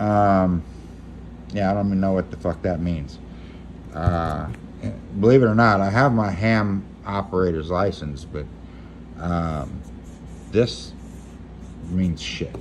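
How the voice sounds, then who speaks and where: With an American accent and a very deep, low pitch, a man speaks at a fairly slow pace with lively intonation and long, frequent pauses over light background noise. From Louisiana, Lake Charles; Louisiana. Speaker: YouTuber, gear reviewer. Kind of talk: casual unboxing vlog. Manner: rambling, hesitant with repeats. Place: home room. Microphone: phone near.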